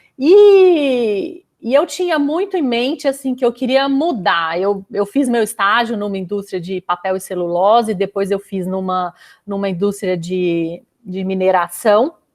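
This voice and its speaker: With a Minas Gerais accent, a woman speaks fairly slowly at a medium pitch with lively intonation. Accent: Minas Gerais (mineiro) accent, noticeable. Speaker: chemical engineer. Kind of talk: casual interview chat.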